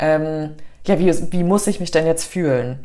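A woman's very deep, low pitch with ordinary pitch variation at a fairly slow pace. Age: 30s. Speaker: breathwork instructor. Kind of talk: casual interview chat; guided breathing exercise. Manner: calm.

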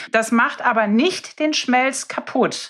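Very slowly, a woman speaks in a high pitch. The recording is very clean, with a silent background. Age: 30s. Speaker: dentist. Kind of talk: casual interview. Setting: in-person recording in host's medical practice. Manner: animated.

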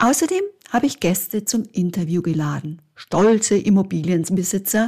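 On a very clean recording with a silent background, a woman of medium pitch speaks in a somewhat breathy, dark, mellow tone with ordinary pitch variation. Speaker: podcast host, Italian teacher and property advisor. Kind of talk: scripted monologue.

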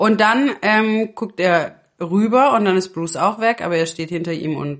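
At a fairly slow pace, a woman talks in an ordinary speaking voice. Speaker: podcast co-host. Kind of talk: casual chat.

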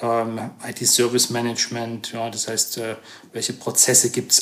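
A man speaks at a fairly slow pace. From Saxony, Chemnitz region. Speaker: computer science professor. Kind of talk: interview. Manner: hesitant, many fillers.

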